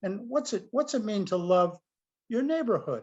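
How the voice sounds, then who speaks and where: A man speaks at a high pitch that moves through very wide swings. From US Northeast. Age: 70s. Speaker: priest and author. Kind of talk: interview. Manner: animated.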